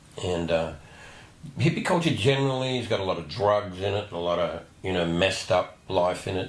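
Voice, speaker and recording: A man with a fairly low voice at a fairly quick pace, with noticeable background noise and audible room echo. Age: 60s. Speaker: interview show host. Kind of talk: interview. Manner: halting.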